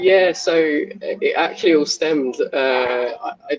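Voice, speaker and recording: A man speaks with a southern English accent. The sound is dry and close with no echo, over noticeable background noise. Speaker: football fan. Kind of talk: interview. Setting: stadium suite.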